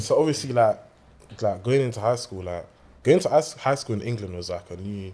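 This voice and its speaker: The talking moves at a fairly quick pace over noticeable background noise. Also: man. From Caribbean and America (born West London). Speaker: American football player. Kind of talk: casual chat.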